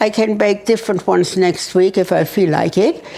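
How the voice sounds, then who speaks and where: A woman talks at a fairly slow pace while noticeable background noise carries on behind her. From Germany. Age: 80s+. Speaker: Holocaust survivor. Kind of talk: casual conversation, life story.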